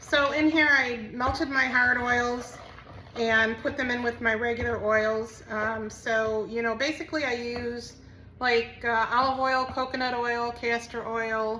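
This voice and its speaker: A woman speaks fairly slowly in a high voice with monotone, flat intonation. Audible room echo and noticeable background noise surround her. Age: 60s. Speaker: soap maker and small business owner. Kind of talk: tutorial. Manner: casual, with frequent fillers.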